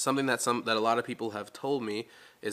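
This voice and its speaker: A man with a Californian accent speaks in a relaxed, bright, sharp tone with monotone, flat intonation. The recording is very clean, with a silent background. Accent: Californian American English. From Los Angeles, US. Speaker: vlogger. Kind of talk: casual chat. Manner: relaxed, many fillers.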